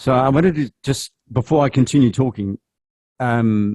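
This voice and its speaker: Heard in a dry, close sound with no echo and a very clean recording with a silent background, a man with a Zulu accent speaks in a dark, mellow tone with ordinary pitch variation. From South Africa. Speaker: journalism trainer. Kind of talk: workshop presentation.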